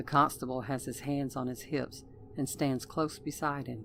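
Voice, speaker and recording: With music in the background, a woman with a Southern US accent speaks in a very deep, low voice with ordinary pitch variation. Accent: Southern US drawl. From Southern United States. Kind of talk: horror story narration.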